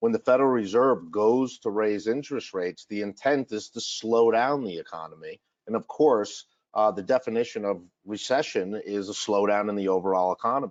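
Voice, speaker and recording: Speaking at a fairly quick pace with a Massachusetts accent, a man has a fairly low pitch and ordinary pitch variation. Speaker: financial advisor. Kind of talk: webinar presentation. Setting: online webinar.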